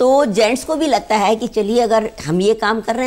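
A woman is speaking. Her pace is moderate. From Rajasthan, Bikaner; Rajasthan, India. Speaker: beauty expert; guest. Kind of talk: TV interview. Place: studio. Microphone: lapel.

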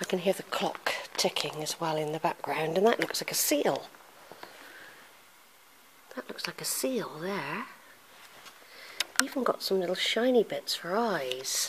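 Fairly slow pace with long, frequent pauses over noticeable background noise. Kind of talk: casual narrated walkthrough. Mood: curious, pleased. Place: church. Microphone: phone near.

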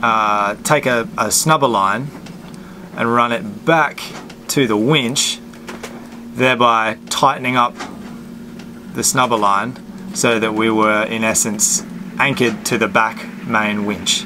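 Speaking at a very slow pace with long, frequent pauses, a man comes through over noticeable background noise. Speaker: sailing vlogger. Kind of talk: tutorial. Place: boat. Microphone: phone near.

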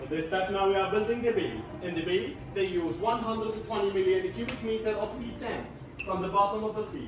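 With audible room echo and noticeable background noise, a man speaks in a high pitch at a fairly quick pace, using ordinary pitch variation. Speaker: tour guide. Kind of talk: guided tour explanation. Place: hall. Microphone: camera far.

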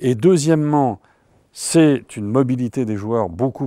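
A dark, mellow tone with lively intonation at a moderate pace, dry with no echo. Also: man, quiet background. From France. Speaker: economist, professor emeritus; professor emeritus. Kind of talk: interview. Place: studio. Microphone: lapel.

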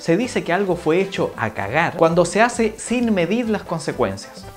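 A man with a Chilean accent, clear music in the background. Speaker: vlogger. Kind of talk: casual explainer talk to camera. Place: home room.

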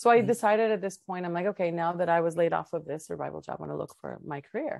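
A woman with a fairly low pitch talks at a very fast pace with ordinary pitch variation. The sound is dry with no echo over a quiet background. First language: Spanish. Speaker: tech professional; interview guest. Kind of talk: interview conversation. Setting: video call.

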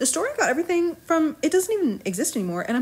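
Talking at a very fast pace, a woman makes very wide pitch swings. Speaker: journaling YouTuber. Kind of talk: casual voiceover. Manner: chatty.

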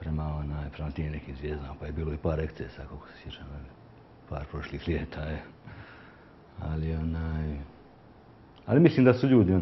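A man's very deep, low voice at a fairly quick pace, with ordinary pitch variation, long, frequent pauses, and light background noise. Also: big swings in loudness. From Croatia, Dubrovnik; Croatia. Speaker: picture framer and youth handball coach; interviewee. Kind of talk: street interview. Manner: halting. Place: shop. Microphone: lapel.

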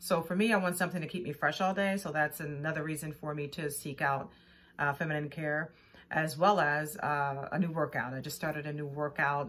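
Delivery is fairly quick, and the intonation stays fairly even. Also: woman, very deep, low pitch for a woman. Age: 50s. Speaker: actor auditioning. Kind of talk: self-tape audition answers. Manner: hesitant, with fillers. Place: home room. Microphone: phone near.

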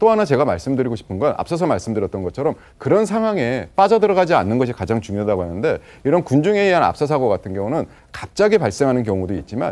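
A man with a dark, mellow tone races along at a very fast pace, his pitch swinging very widely. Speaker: disaster prevention professor. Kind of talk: TV panel discussion. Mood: serious, explanatory. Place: studio.

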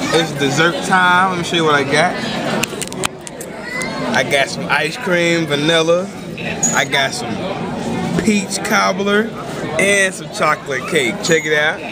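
There is crowd noise in the background as a man speaks. He leaves long, frequent pauses. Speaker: fitness vlogger. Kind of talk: casual vlog chat. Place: cafe. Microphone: phone near.

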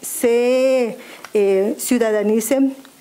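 A woman speaks with a high voice. Her intonation stays fairly even. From Mexico, Maya zone of Quintana Roo. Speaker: public official, job candidate; candidate. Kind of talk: formal job interview before legislative committee. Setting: legislative committee hearing. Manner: formal. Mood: formal, composed. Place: meeting room. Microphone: podium.

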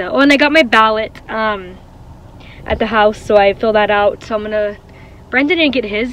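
A woman speaks at a moderate pace with ordinary pitch variation, in a dry recording with no echo and light background noise. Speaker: vlogger. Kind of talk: casual vlog chat. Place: car. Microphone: phone near.

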